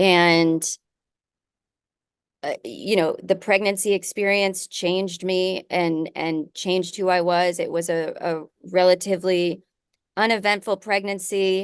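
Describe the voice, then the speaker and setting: Against a quiet background, a woman talks at a fairly slow pace with a medium pitch and fairly even intonation. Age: 40s. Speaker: podcast host. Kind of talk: casual chat.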